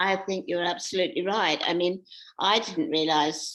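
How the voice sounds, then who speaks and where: In an English accent, a woman talks at a fairly slow pace and a fairly low pitch. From England. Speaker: author. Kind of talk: interview. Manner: halting.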